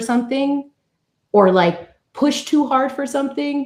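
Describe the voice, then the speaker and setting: With an American accent, a woman speaks in a somewhat breathy voice with lively intonation. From New York. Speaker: guest speaker on recovery and mental health. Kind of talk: casual talk-show conversation.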